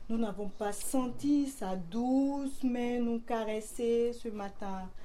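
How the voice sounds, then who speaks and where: A woman speaks very slowly in a dark, mellow tone. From Mali. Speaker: storyteller. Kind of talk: folk tale telling, live to an audience. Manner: animated, plays out the characters' dialogue with changing voices; call-and-response with the children, storyteller's rhythm.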